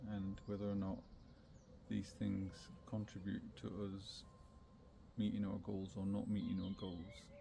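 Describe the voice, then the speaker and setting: A man with a fairly low, somewhat breathy voice speaks at a fairly slow pace in a calm, dark, mellow tone, leaving long, frequent pauses. His intonation is monotone and flat, and audible room echo surrounds him. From Scotland and northern England. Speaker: wellbeing podcaster. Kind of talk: reflective monologue. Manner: halting with many fillers.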